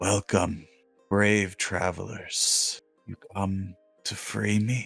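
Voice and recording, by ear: Over faint music in the background, a man does a raspy, put-on character voice at fairly low pitch, very slow and with monotone, flat intonation.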